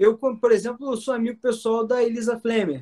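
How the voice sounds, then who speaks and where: At a moderate pace, a man speaks with an extremely high pitch, the sound dry and close with no echo. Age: 20s. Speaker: political candidate and student. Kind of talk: podcast interview.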